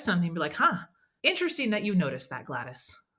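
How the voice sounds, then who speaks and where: The voice has a bright, sharp tone and an animated delivery with very wide pitch swings, and audible room echo surrounds it. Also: woman. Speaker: business coach, speaker trainer. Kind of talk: podcast interview. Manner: fast.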